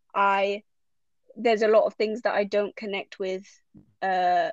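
In a London accent, a woman with a fairly high pitch speaks at a moderate pace, the sound dry and close with no echo. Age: 20s. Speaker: systemic therapist. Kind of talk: casual chat.

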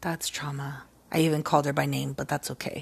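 A woman speaks in a very deep, low voice, somewhat breathy and animated in tone. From Mexican-American family. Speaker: podcast host. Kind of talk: casual solo monologue. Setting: at home in a recliner. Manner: animated, frequent laughing.

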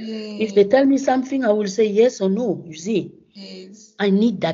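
At a moderate pace with hardly any pauses, a woman speaks somewhat breathily at a medium pitch with ordinary pitch variation. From Gabon. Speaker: professor of microbiology. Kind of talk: interview. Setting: remote call from home. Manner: halting.

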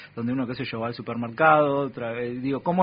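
The speaker has a Rioplatense accent. The pitch varies in an ordinary way. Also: man. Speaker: community radio host. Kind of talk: radio interview. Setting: radio studio.

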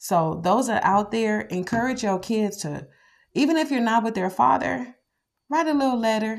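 Very clean recording with a silent background, a woman's plain, everyday voice, fairly high in pitch, at a moderate pace with lively intonation. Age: 40s. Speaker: podcast host, mother. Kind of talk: casual monologue.

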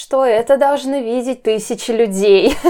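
A woman's dark, mellow tone comes through on a very clean recording with a silent background. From Russia, Nizhny Novgorod. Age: 20s. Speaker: travel blogger. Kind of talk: interview.

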